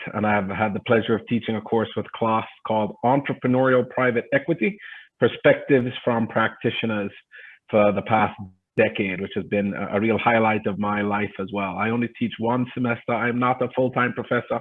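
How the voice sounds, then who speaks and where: In a Jamaican accent, a man talks at a fairly quick pace. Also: medium pitch for a man, fairly even intonation. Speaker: adjunct professor and private equity investor. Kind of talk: panel talk.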